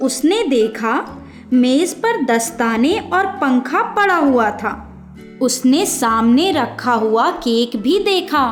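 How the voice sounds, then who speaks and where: Music plays in the background as a woman speaks. Her pitch is high and her loudness very even. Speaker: voice over artist. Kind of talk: children's fairy tale narration.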